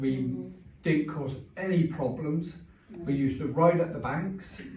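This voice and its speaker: Amid audible room echo, a man with a southern English accent and a fairly high voice speaks at a moderate pace with ordinary pitch variation. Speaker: local resident sharing memories. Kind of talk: group reminiscence. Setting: village hall.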